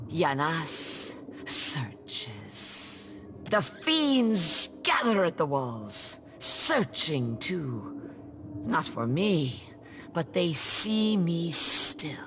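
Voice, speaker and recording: In a put-on character voice, a woman speaks at a very slow pace with a very deep, low pitch against clear background noise. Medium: video game. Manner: halting, dreamlike.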